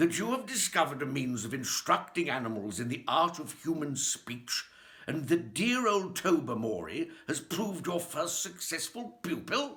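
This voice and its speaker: Putting on a character voice, a man speaks at a moderate pace in a high pitch with very wide pitch swings. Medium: read story.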